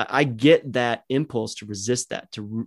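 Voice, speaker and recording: A man with an American accent speaks at a medium pitch and a fairly slow pace, with fairly even intonation, in an ordinary speaking voice. The recording is very clean, with a silent background. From United States. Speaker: podcast host and communications director. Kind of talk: casual conversation podcast.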